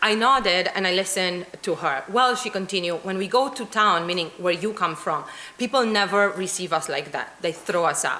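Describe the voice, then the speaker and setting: A woman at medium pitch with a Romanian accent, ordinary pitch variation and hardly any pauses, amid noticeable background noise and audible room echo. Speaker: academic researcher. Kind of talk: conference talk. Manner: fast.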